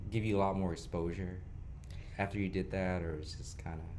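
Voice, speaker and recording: Against audible room echo, a man speaks at a fairly low pitch with ordinary pitch variation. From Houston, Texas. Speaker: podcast host. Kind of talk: casual interview.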